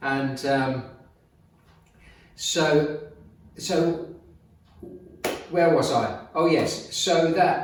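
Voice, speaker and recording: A man with a fairly high pitch speaks with ordinary pitch variation and long, frequent pauses. Audible room echo and noticeable background noise fill the recording. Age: 70s. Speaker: fitness and business motivational video maker. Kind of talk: casual talk to camera. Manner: hesitant, with many fillers.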